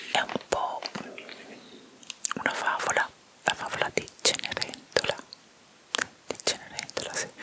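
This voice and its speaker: Whispering at a fairly slow pace, a woman leaves long, frequent pauses over noticeable background noise. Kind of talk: ASMR whispering chat about a TV series. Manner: whispered, soft, relaxing.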